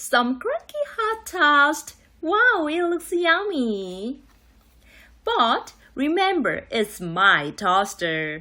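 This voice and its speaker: A put-on character voice at a very slow pace. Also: woman, high pitch for a woman. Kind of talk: children's read-aloud. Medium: read story. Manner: theatrical, gasping reveals.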